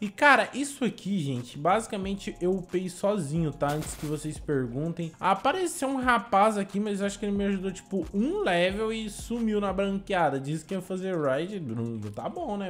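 Light background noise is audible. The voice moves in very wide pitch swings with hardly any pauses. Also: man, high pitch for a man, moderate pace. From Brazil. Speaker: gaming YouTuber. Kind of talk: gameplay commentary. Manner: animated. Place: home room. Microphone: headset.

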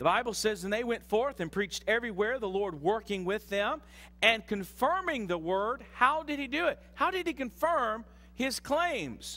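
Raised and projected, a man's voice sits at an extremely high pitch with very wide pitch swings and a bright, sharp tone. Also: moderate pace. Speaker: pastor. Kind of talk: sermon. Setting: church. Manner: animated, conversational preacher, teaching with audience call-and-response. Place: church. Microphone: headset.

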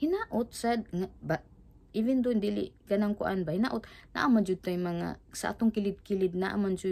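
A woman's voice, dark and mellow in tone, with ordinary pitch variation. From Philippines, Cebu; Philippines. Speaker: vlogger. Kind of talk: casual vlog chat. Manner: halting, repetitive. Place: home room.

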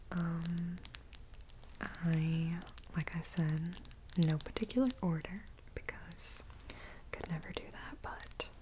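Against noticeable background noise, a woman with a fairly low voice talks at a very slow pace, leaving long, frequent pauses. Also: fairly even intonation. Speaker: vlogger. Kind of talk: casual vlog chat. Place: home room. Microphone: earbuds.

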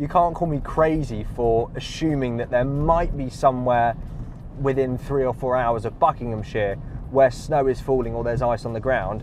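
Fairly even intonation holds at a moderate pace. The sound is dry with no echo, over light background noise. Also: man. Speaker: car reviewer. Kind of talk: casual driving review commentary. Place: car.

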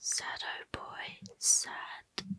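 A woman is speaking. She whispers. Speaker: ASMR creator. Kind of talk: soft-spoken ASMR product show and tell. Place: home room. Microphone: studio mic.

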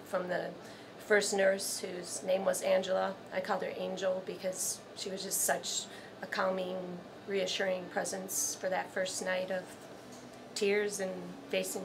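Over noticeable background noise, a woman with an American accent speaks in a monotone, flat way at a moderate pace with long, frequent pauses. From Illinois, US Midwest. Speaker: cancer patient. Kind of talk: testimony. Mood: warm, grateful, emotional. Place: home room.

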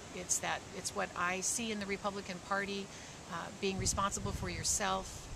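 Noticeable background noise is audible. Over it, a woman talks at a moderate pace. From California. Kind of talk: personal testimony. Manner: halting, many fillers.

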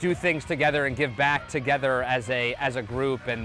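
At a moderate pace, a man speaks with a dry sound with no echo while faint music plays in the background. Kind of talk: interview answer. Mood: upbeat, appreciative. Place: stadium. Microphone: lapel.

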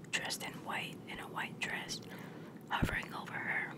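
Someone is whispering. The pace is fairly slow. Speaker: ASMR video creator. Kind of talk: casual storytelling about ghost experiences. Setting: at home. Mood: relaxed ghost story telling. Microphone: phone near.

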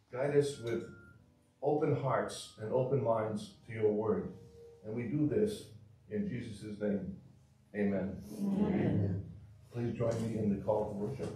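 Through audible room echo and noticeable background noise, a man speaks at a fairly slow pace with long, frequent pauses and ordinary pitch variation. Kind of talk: prayer and scripture reading. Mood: solemn, calm. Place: church.

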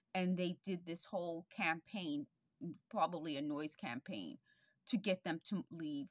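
Against a quiet background, a woman speaks at a fairly slow pace with lively intonation, the sound dry with no echo. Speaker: vlogger. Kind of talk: casual vlog chat. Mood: earnest, concerned. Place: home room. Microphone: webcam.

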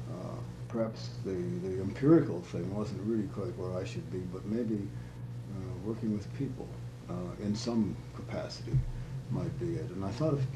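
A man with a very deep, low pitch talks at a moderate pace against noticeable background noise. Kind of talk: interview answer. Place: home room.

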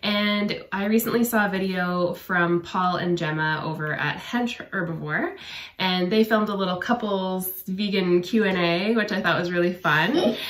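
A woman speaks at a fairly slow pace with fairly even intonation, and audible room echo surrounds her voice. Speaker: channel host. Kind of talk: casual vlog chat. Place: home room. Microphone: phone near.

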